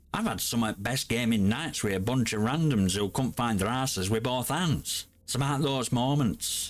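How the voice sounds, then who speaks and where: Grumpy in tone, a man of medium pitch talks at a moderate pace with ordinary pitch variation and hardly any pauses. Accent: Yorkshire. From Yorkshire, England. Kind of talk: casual gaming commentary to camera.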